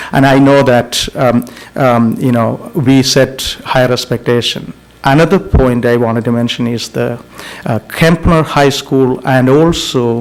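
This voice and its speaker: Amid noticeable background noise, the speech moves at a fairly slow pace with fairly even intonation. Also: man, medium pitch for a man. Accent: non-native. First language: not English. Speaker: school board trustee. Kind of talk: board meeting discussion. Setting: public board meeting. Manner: halting.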